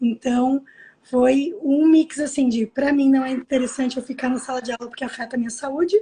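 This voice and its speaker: At a moderate pace, a woman with a high-pitched voice speaks with fairly even intonation. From Brazil. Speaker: language teacher and online course owner. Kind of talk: live video interview. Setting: video call from home.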